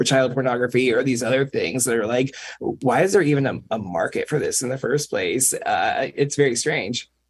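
Speaking at a fairly quick pace, a man has an unremarkable speaking voice set at a fairly high pitch. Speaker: DJ. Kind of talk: casual chat. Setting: video call.

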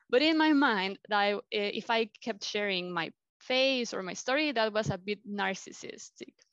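A woman with a Mexican accent, fairly high in pitch, with lively intonation, a moderate pace, and a dry, close sound with no echo. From Mexico City. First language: Spanish. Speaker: life coach. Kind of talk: interview. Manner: halting.

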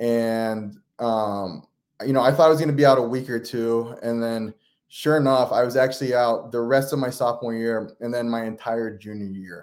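A man's medium-pitched, normal speaking voice at a moderate pace, with fairly even intonation. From western Pennsylvania. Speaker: college basketball coach. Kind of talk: casual interview. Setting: video call.

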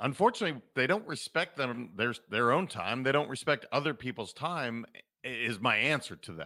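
Bright and sharp in tone, a man with an American accent speaks at a moderate pace and medium pitch, using lively intonation and some vocal fry. The recording is very clean, with a silent background. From Montana. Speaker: leadership and performance coach. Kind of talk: casual interview chat. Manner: animated.

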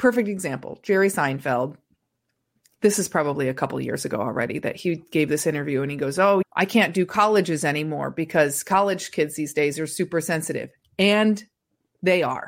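A woman with an American accent speaks at a fairly quick pace in a very deep, low voice with lively intonation, on a very clean recording with a silent background. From US Midwest, rural Indiana. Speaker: stand-up comedian. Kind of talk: casual interview.

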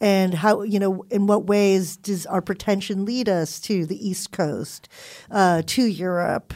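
A woman with a Californian accent, fairly slow pace and fairly even intonation, on a very clean recording with a silent background. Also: medium pitch for a woman. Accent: Californian American English. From Philippines and Southern California. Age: 40s. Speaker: college professor and author. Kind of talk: casual chat.

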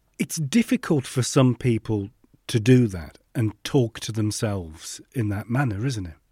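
With a dark, mellow tone and a somewhat breathy quality, a man speaks at a medium pitch and fairly slow pace, using lively intonation and big swings in loudness in a dry, close sound with no echo. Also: very clean recording, silent background. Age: 50s. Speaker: podcast host. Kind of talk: casual interview chat.

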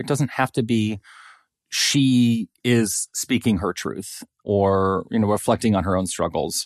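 A plain, everyday voice with ordinary pitch variation moves at a fairly slow pace, recorded very cleanly against a silent background with a dry, close sound and no echo. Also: man, fairly low pitch for a man. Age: 30s. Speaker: social psychology professor and weight stigma researcher. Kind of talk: casual interview conversation.

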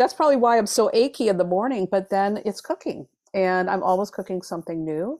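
A woman speaks at a fairly quick pace with lively intonation and a plain, everyday voice. Her pitch is medium, and the sound is dry and close with no echo. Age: 50s. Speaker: tarot reader and author. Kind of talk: casual interview chat. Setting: video call.

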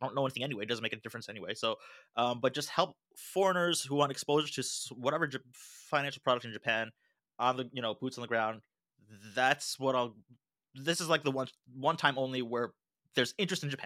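A man with an American accent speaks at a very fast pace in a medium pitch, his bright, sharp tone carrying ordinary pitch variation, broken by long, frequent pauses, on a very clean recording with a silent background and a dry, close sound with no echo. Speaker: finance and macro analyst. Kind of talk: interview.

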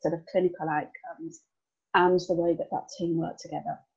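With a strong Birmingham accent, a woman speaks at a moderate pace in a fairly low pitch. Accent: Birmingham (Brummy), strong. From Birmingham, England. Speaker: business owner, team development consultant. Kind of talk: interview conversation. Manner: chatty, animated.

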